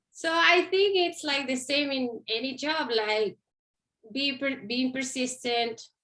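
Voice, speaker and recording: In a Chilean accent, a woman projects a raised, high-pitched voice with a bright, sharp tone, ordinary pitch variation and a very slow pace. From Chile, Santiago. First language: Spanish. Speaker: Spanish instructor. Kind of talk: career interview.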